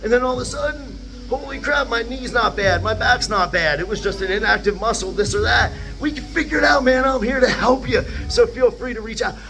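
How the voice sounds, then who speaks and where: Over music in the background, a man speaks at a fairly quick pace in an animated tone. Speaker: fitness coach. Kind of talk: tutorial. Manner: fast. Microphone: far from camera, no mic yet.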